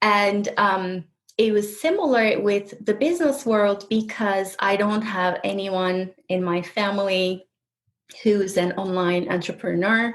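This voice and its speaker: A woman with a Turkish accent, fairly slow pace and ordinary pitch variation. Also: medium pitch for a woman. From Turkey. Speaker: healer and coach. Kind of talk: interview conversation. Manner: halting, with self-corrections.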